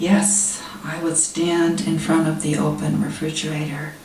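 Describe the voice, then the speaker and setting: A woman speaks at a very slow pace. Noticeable background noise runs underneath. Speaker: poet. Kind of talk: poetry reading. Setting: live reading at a literary society event.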